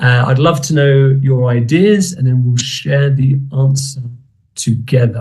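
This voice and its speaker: The voice is somewhat breathy, with a British accent. It moves at a very slow pace. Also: man. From United Kingdom. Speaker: English teacher. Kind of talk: online conference talk. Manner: hesitant with fillers.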